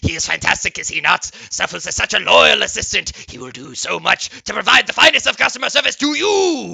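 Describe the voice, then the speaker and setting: A man speaks in a put-on character voice. He moves at a fairly quick pace with hardly any pauses. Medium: actual play. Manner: theatrical, grandiose.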